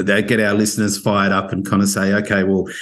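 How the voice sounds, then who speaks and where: Speaking at a fairly quick pace, a man with an Australian accent keeps a fairly low pitch and a flat, monotone intonation. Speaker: podcast host. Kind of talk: interview conversation.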